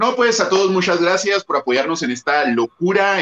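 Speaking with a Mexican accent, a man uses a high pitch and very wide pitch swings at a moderate pace. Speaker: booktuber. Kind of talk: casual chat.

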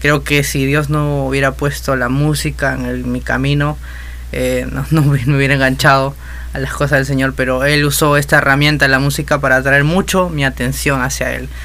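A man keeps a moderate pace while room echo is audible and background noise is noticeable. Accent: Peruvian. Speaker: musician and music teacher. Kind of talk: casual interview. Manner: halting.

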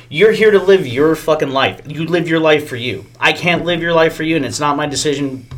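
There is noticeable background noise as a man with a fairly high pitch talks with hardly any pauses and ordinary pitch variation. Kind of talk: casual chat. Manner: crude, joking banter.

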